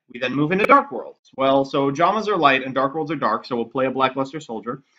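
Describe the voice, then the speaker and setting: This is a man speaking. His pitch is fairly high. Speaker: card game video creator. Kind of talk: gameplay commentary. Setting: cheap home microphone. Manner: dry, sarcastic.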